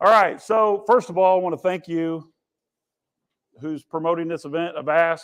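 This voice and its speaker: A loud, high-pitched male voice. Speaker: conference speaker. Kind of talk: keynote talk. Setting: stage with audience. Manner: animated.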